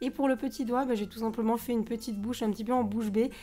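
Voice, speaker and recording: Very fast, fairly even-toned speech from a woman, fairly high in pitch, with a dark, mellow tone. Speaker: nail art youtuber. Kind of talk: tutorial voice-over. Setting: voice-over.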